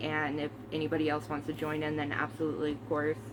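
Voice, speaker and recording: A woman with a very deep, low pitch talks over noticeable background noise. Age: 30s. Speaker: movie collector vlogger. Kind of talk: casual chat. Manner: casual, hesitant with many fillers.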